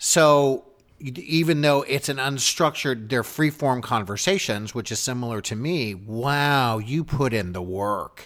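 On a very clean recording with a silent background, a man with a medium pitch speaks at a fairly slow pace with ordinary pitch variation. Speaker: actor and podcast host taking over the show. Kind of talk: casual interview chat. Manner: animated, laughing.

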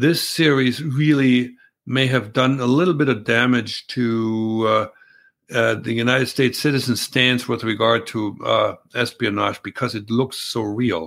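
A man with a German accent talks at a fairly slow pace. His intonation stays fairly even. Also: medium pitch for a man. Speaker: former undercover spy. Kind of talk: live-stream Q&A interview. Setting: video call. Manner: halting with fillers.

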